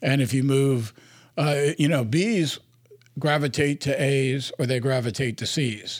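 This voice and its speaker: An unremarkable speaking voice from a man, fairly high in pitch, with ordinary pitch variation and very even loudness on a very clean recording with a silent background. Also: fairly slow pace. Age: 60s. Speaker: investor and board director. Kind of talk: interview.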